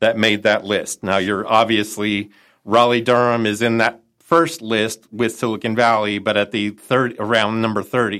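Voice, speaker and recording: Speaking in a Chicago accent, a man delivers bright, sharp, fairly even speech with hardly any pauses, in a very clean recording against a silent background. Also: medium pitch for a man, moderate pace. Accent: Chicago, nasal. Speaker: entrepreneur network director and consultant. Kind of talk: casual interview.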